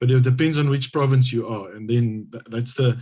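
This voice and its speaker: A man's medium-pitched, somewhat breathy voice with a dark, mellow tone, flat monotone intonation and a South African accent. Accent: Afrikaans South African English. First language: Afrikaans. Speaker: government hydrogeologist, translator. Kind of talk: interview. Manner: halting.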